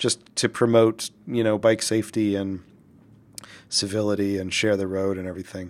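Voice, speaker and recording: This man has a fairly low pitch and speaks at a moderate pace in a monotone, flat intonation. The recording is very clean, with a silent background. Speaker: commercial director. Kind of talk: casual interview conversation. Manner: hesitant, filler-heavy.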